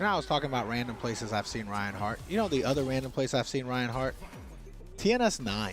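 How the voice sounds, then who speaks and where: Over music in the background, a man with a medium pitch talks at a very fast pace with lively intonation. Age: 40s. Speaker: fighting game stream co-host. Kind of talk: casual chat. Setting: livestream watch party.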